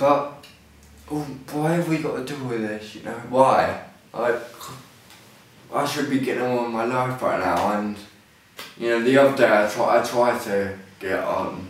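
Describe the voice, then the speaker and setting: With a southern English accent, a man at medium pitch speaks at a moderate pace with long, frequent pauses, amid noticeable background noise and audible room echo. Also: ordinary pitch variation. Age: 20s. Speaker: person with ataxia, clothing line owner. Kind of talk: personal video testimony. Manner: halting; slurred, may sound drunk.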